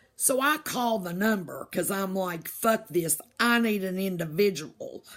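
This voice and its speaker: A woman's fairly slow, lively-toned speech at medium pitch, with a Southern US accent. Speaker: vlogger. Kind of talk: casual rant. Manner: animated.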